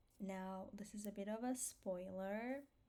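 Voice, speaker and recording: A woman with an Armenian accent, a dark, mellow tone, and medium pitch. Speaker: vlogger. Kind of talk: personal vlog monologue. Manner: slow; hesitant, many fillers.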